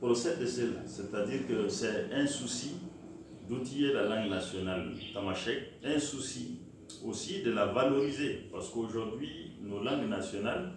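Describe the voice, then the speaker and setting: A man speaks fairly slowly at a medium pitch with lively intonation. The room echo is audible, and there is noticeable background noise. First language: Tamasheq (speaking French). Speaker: author of language textbooks. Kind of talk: interview. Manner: measured, frequent hesitations.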